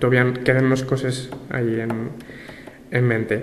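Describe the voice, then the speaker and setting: A man speaks at a medium pitch in a flat monotone over noticeable background noise. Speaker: language rights activist. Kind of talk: interview answer.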